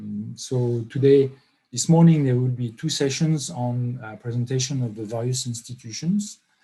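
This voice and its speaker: In a French accent, a man of medium pitch speaks with a dark, mellow, somewhat breathy tone, ordinary pitch variation and big swings in loudness. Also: moderate pace. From France. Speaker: professor, workshop organiser. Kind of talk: online workshop opening remarks. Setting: online video conference. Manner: hesitant, many fillers.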